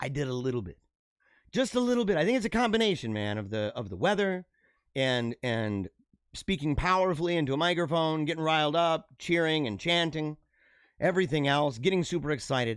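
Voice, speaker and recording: On a very clean recording with a silent background, a man talks at a fairly quick pace in a fairly high voice, his pitch swinging very widely. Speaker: live-stream political show host. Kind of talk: live-stream monologue. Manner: animated, repetitive.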